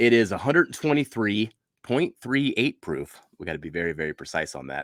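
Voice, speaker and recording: The sound is dry and close with no echo, on a very clean recording with a silent background. A man speaks with very wide pitch swings. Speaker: whiskey reviewer. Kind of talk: product review. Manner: casual, chatty.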